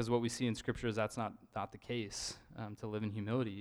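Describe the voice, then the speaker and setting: With an American accent, a man talks at a fairly quick pace and a medium pitch. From Idaho. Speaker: lay preacher. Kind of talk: sermon. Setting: church. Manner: halting.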